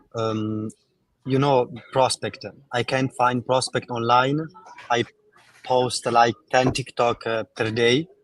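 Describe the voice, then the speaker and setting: Speaking in an Italian accent, a man with a medium pitch goes at a very slow pace, his intonation monotone and flat, with long, frequent pauses and a dry, close sound with no echo. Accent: Italian, non-native English. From Italy. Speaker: network marketer caller. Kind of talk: live call-in coaching. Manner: halting.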